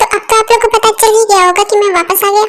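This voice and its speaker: Putting on a character voice, a woman speaks at a very fast pace with an extremely high pitch and monotone, flat intonation. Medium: fan dub. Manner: chatty, repetitive, playful.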